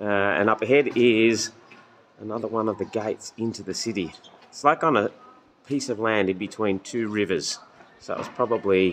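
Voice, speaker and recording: Speaking with an Australian accent, a man uses a relaxed tone, medium pitch and fairly even intonation at a moderate pace, with long, frequent pauses. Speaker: travel vlogger, pilgrim. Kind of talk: casual vlog chat. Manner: casual, relaxed.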